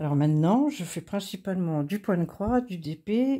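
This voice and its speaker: On a very clean recording with a silent background, a woman speaks at a fairly low pitch in a dark, mellow tone. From Brittany, France (Finistère). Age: 60s. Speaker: craft YouTuber. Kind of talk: casual vlog monologue. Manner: hesitant, many fillers.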